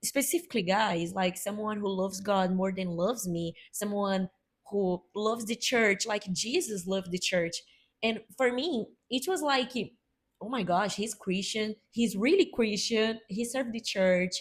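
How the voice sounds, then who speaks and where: A somewhat breathy woman in a Brazilian Portuguese accent, at a fairly slow pace, in a very clean recording with a silent background. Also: medium pitch for a woman, ordinary pitch variation. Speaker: podcast co-host. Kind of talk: casual chat.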